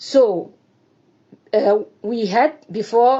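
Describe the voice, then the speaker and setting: A woman speaks in a Burkinabe accent with ordinary pitch variation. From Burkina Faso. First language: French. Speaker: Burkinabe citizen giving testimony. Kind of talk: personal testimony. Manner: halting, hesitant non-native speech.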